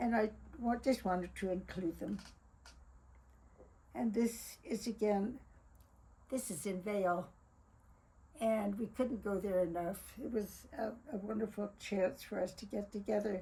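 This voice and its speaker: The voice has a dark, mellow tone and is somewhat breathy, with ordinary pitch variation and long, frequent pauses. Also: woman, medium pitch for a woman, fairly slow pace. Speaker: family memoir narrator. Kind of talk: narrating a photo slideshow. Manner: halting.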